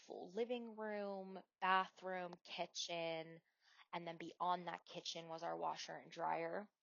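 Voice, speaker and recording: A woman with an American accent talks in a normal speaking voice at a fairly slow pace, her pitch fairly low and her intonation fairly even, with big swings in loudness. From US Northeast, Wilkes-Barre, Pennsylvania. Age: 30s. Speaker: podcast host. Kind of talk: personal storytelling podcast. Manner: casual with fillers and restarts.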